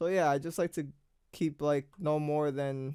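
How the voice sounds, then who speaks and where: A man's fairly high, monotone, flat voice at a moderate pace, on a very clean recording with a silent background. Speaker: beat producer. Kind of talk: tutorial. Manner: casual.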